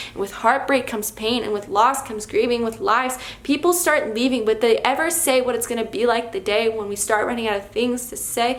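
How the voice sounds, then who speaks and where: Over noticeable background noise, a woman talks at a fairly quick pace in a fairly high pitch with ordinary pitch variation. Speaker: poet. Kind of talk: slam poetry performance.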